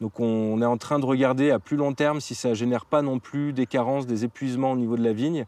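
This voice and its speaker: Delivered at a fairly quick pace, the voice has a dark, mellow tone, fairly even intonation, and a dry, close sound with no echo. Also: man. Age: 30s. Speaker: winery operations manager. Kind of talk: casual interview. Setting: on location at a wine estate, vineyard and cellar.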